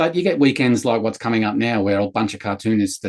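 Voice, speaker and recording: A man talking very fast, with a slight Sydney accent, against a quiet background. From Sydney, Australia. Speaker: comics chat show co-host, cartoonist. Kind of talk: casual chat.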